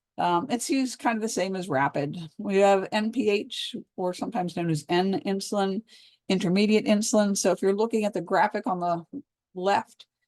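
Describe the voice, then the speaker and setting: A woman uses a normal speaking voice at a medium pitch with ordinary pitch variation, moving at a fairly quick pace. The sound is dry and close with no echo, over a quiet background. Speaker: pharmacology lecturer. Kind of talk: lecture. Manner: casual conversational.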